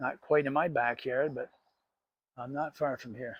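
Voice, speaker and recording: At a moderate pace, the speech shows ordinary pitch variation in a dry, close sound with no echo. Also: man. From southern Ontario, Canada (Cambridge). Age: 60s. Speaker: outdoor vlogger. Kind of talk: casual vlog narration. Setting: outdoors. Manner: relaxed, conversational.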